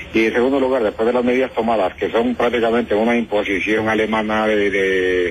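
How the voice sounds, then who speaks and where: Amid noticeable background noise, a man with a fairly low pitch speaks at a fairly quick pace. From Ecuador. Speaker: immigrant interviewee. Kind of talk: phone interview. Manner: hesitant, with fillers.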